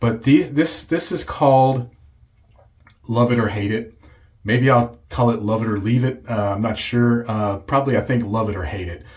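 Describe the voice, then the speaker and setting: Somewhat breathy, the man talks with ordinary pitch variation. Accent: American. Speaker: shaving video creator. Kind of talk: casual video review. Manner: halting.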